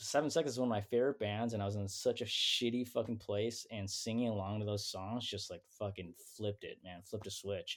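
Delivered at a fairly quick pace with hardly any pauses, this is a plain, everyday voice. Intonation stays fairly even on a very clean recording with a silent background. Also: man, fairly low pitch for a man. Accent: American. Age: 40s. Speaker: punk band musician. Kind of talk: casual chat.

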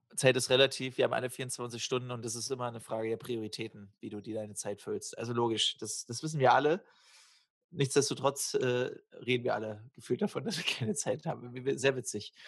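With ordinary pitch variation, a man's medium-pitched voice runs at a fairly quick pace. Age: 30s. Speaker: podcast co-host. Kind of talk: casual chat.

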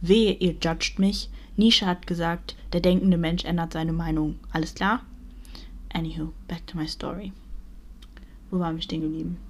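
The speaker keeps a moderate pace. Long, frequent pauses break up the speech. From Germany. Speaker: podcaster. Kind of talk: casual monologue. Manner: animated.

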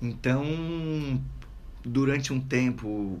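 Audible room echo surrounds a man's voice. His pitch variation is ordinary. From Itajaí, Santa Catarina, southern Brazil. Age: 30s. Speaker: surfer and author. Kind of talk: casual radio interview. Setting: radio studio.

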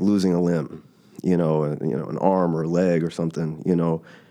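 A man's very deep, low voice with an American accent, dark and mellow in tone, monotone and flat at a moderate pace, against a quiet background. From Texas, Dallas. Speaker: podcast guest sharing grief. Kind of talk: personal testimony in casual chat. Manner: halting, many repetitions.

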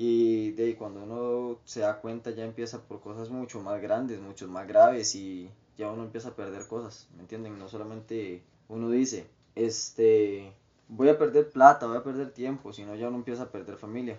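A man speaks at a moderate pace in a medium pitch, with fairly even intonation. His loudness swings widely, in a plain, everyday voice. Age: 20s. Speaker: guest sharing life story. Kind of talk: testimony.

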